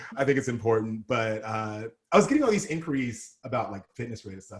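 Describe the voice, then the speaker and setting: This man speaks with an American accent. His pitch sits in the medium range. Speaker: model and activist. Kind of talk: casual chat. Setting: podcast interview.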